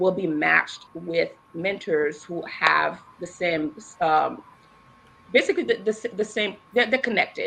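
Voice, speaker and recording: At a moderate pace and medium pitch, a woman talks over noticeable background noise. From Boston, US. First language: Haitian Creole or French. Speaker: ESL teacher and nonprofit worker. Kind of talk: podcast interview.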